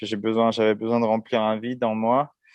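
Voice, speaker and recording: The speaker is a man. His pitch falls in the middle range. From France, Seine-Saint-Denis (La Courneuve). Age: 30s. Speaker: endurance cyclist and adventurer. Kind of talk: interview testimony. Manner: hesitant, many fillers.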